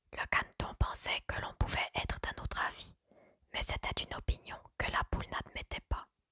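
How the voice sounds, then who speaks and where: Whispering at a fairly slow pace, a woman comes through with a dry, close sound that has no echo. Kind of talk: whispered ASMR story reading. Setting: quiet indoor recording, close microphone. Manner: whispered, soft, slow.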